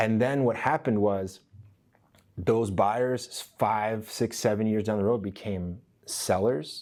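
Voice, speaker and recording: In a very clean recording with a silent background, a man with a fairly low pitch speaks at a very slow pace with fairly even intonation. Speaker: real estate trainer. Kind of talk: training session. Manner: conversational.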